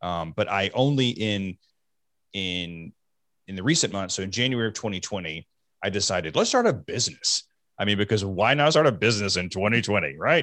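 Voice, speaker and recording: Fairly low in pitch, a man with a normal speaking voice and an American accent talks at a fairly quick pace with lively intonation on a very clean recording with a silent background. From US South. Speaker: mental health speaker. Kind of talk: interview.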